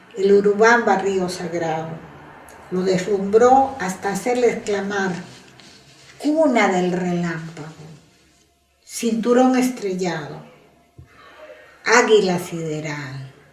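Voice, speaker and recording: Over music in the background, a woman with a medium-pitched voice and lively intonation talks at a very slow pace, stopping often for long pauses. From Huánuco, Peru. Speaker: poet and university lecturer. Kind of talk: reading own writing.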